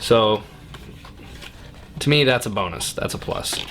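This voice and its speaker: A man talks while noticeable background noise fills the clip. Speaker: hunting channel host reviewing gear. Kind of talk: product review and unboxing. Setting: basement man cave, indoors.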